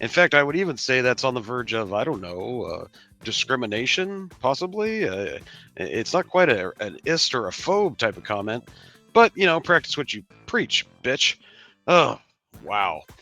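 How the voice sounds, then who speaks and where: Faint music plays in the background as a man does a cartoonish character voice at medium pitch with very wide pitch swings. His pace is moderate. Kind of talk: comedic rant reaction. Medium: puppet. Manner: sarcastic, mocking.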